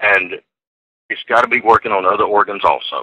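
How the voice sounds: A man talks at a fairly quick pace with fairly low pitch and lively intonation, the sound dry and close with no echo.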